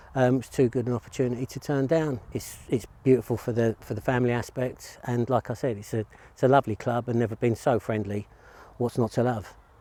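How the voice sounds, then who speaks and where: A man's dark, mellow tone in a Cockney accent, medium in pitch, fairly quick in pace, with fairly even intonation. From East London, England. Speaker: golf teaching professional. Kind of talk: interview answers. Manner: hesitant, many fillers.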